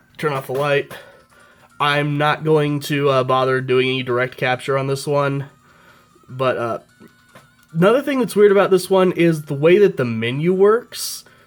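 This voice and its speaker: The speech moves at a moderate pace with long, frequent pauses while music plays in the background. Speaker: retro gadget reviewer. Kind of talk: casual product review to camera. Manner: casual, hesitant with fillers.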